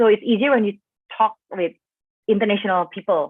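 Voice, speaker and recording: With an Indonesian accent, a woman speaks at a fairly quick pace. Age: 20s. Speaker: expat panel speaker. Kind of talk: online panel talk. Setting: video call livestream. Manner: casual, many fillers.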